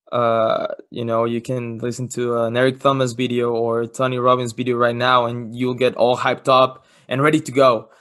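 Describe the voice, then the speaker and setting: A man with a Mexican accent talks at a moderate pace and a medium pitch, his intonation flat and monotone. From Mexico, Cancun. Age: young. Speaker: student entrepreneur, football camp founder. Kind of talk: casual interview chat.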